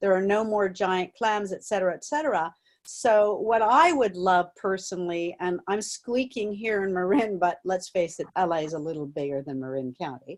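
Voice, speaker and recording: A woman's medium-pitched voice at a moderate pace, with lively intonation and hardly any pauses, over a quiet background. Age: 60. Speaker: audience member asking a question. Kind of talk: Q&A comment. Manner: animated.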